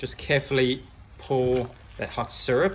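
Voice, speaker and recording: A man speaks in a fairly high pitch with vocal fry. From South Africa. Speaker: cooking video host. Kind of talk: cooking tutorial. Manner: casual, friendly.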